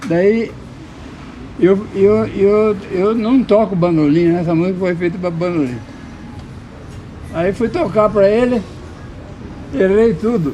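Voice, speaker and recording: A high-pitched man speaks with ordinary pitch variation and long, frequent pauses. Noticeable background noise runs underneath. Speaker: choro musician. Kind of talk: interview answer. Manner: casual storytelling.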